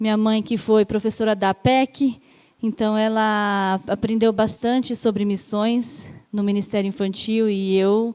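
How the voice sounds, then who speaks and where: A woman with a fairly high pitch speaks at a very slow pace, her tone dark and mellow and her intonation fairly even. The recording is very clean, with a silent background. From Brazil, São Bernardo do Campo (São Paulo). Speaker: missionary. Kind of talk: testimony.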